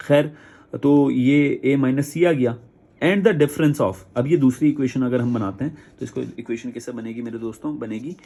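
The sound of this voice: The dark, mellow tone moves at a moderate pace with few pauses and ordinary pitch variation. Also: man, medium pitch for a man.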